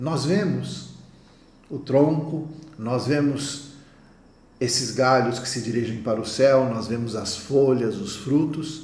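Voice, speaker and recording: Against noticeable background noise and audible room echo, a man speaks at a very slow pace with long, frequent pauses. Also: medium pitch for a man, ordinary pitch variation. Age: 60s. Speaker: naturopath. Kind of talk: conference talk.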